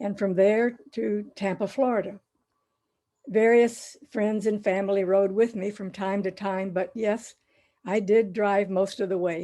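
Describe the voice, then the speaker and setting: A woman with a dark, mellow tone speaks fairly slowly at a medium pitch in a monotone, flat delivery, the background quiet. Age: 80s+. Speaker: college professor. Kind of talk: presentation.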